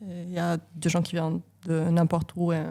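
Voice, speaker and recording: A woman speaks at a fairly low pitch in a monotone, flat intonation. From Italy. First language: Italian (speaking French). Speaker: engineering professor. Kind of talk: casual interview. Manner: hesitant, many fillers.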